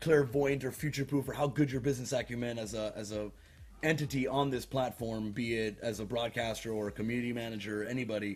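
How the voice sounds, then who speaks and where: Speaking at a fairly quick pace, a man with an American accent has an unremarkable speaking voice, medium in pitch, with fairly even intonation. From Cuban American, US. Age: 30s. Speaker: podcast host and video game streamer. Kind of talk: casual chat.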